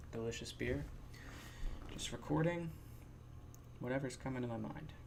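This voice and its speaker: A man talks at a very fast pace with a medium pitch. Audible room echo surrounds his voice. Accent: American. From New Jersey. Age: 20s. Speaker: podcast host. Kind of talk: casual monologue. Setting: sitting in his chair at home. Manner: mumbling radio-host style, put-on.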